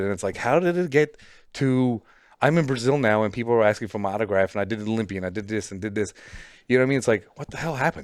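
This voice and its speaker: A man speaks at a very fast pace. His pitch is medium, with a Newfoundland accent. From Newfoundland, Canada. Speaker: professional bodybuilder. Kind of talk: casual chat.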